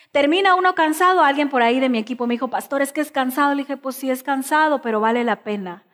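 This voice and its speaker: Over a quiet background, a woman speaks at a high pitch with ordinary pitch variation. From Mexico, Chiapas (Tuxtla Gutiérrez), raised in Veracruz from age 11; Chiapas, Mexico. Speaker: pastor. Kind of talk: sermon. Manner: emphatic, repetitive preaching. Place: church.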